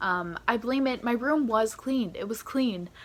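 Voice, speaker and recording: This is a normal speaking voice, with ordinary pitch variation at a fairly slow pace. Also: woman. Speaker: vlogger. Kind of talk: casual vlog monologue.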